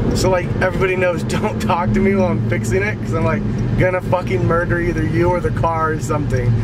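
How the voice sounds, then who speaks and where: A man talks at a fairly quick pace over loud background noise. The sound is dry with no echo. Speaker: vlog co-host. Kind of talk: casual vlog chat. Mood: joking, mildly exasperated. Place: car. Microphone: phone near.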